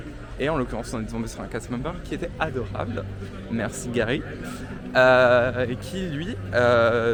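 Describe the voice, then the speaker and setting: A man with a medium pitch speaks at a fairly slow pace. Music plays in the background, and the room echo is audible. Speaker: travel vlogger and theme park employee. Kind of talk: casual vlog narration. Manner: hesitant, many filler sounds; speaking quietly.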